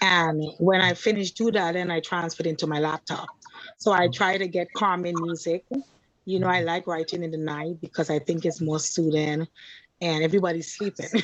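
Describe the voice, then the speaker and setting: A woman talks at a fairly quick pace with a fairly low pitch. Her intonation is monotone and flat. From Trinidad. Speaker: author and poet. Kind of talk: interview answer.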